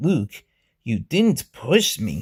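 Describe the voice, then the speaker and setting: A man performs a put-on character voice that comes out raspy. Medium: read story.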